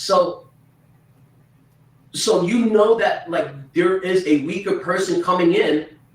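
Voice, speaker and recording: With noticeable background noise behind him, a man talks with very wide pitch swings. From China. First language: Chinese. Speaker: true crime commentator. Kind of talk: livestream discussion. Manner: halting, repeats words.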